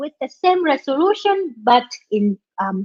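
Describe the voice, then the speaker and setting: Here a woman speaks with lively intonation at a moderate pace. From Vietnam. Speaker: software developer and conference speaker. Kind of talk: tech talk. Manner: halting, with frequent fillers.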